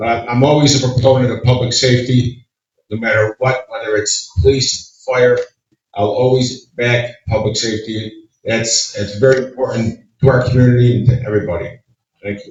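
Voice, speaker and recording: With an American accent, a man at medium pitch speaks at a moderate pace, somewhat breathy, with fairly even intonation and big swings in loudness. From Oneida County, upstate New York. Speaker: political candidate. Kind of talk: candidate forum answer. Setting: community meeting with audience. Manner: halting.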